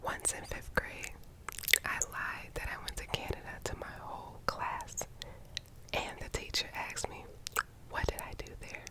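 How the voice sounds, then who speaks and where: Someone whispers at a moderate pace with long, frequent pauses over noticeable background noise. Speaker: ASMR creator. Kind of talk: ASMR reading of viewer secrets. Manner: whispered.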